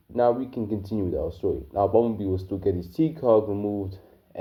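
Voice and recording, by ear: Reading aloud in a natural voice, with lively intonation throughout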